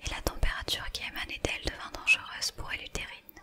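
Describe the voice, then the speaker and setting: Amid noticeable background noise, a woman is whispering. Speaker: ASMR creator. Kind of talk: whispered book reading. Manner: whispered, soft.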